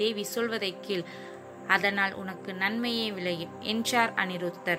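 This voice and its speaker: A woman's voice with ordinary pitch variation over background music. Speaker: college student. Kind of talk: audiobook novel reading.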